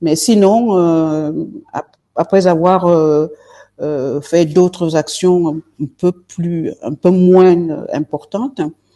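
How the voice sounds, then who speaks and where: A woman speaks at a very slow pace in a dark, mellow tone. Her pitch is fairly low. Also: ordinary pitch variation, dry, close sound with no echo. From Marseille, southern France. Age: 60s. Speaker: politician, party leader. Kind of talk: interview. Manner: hesitant, many fillers.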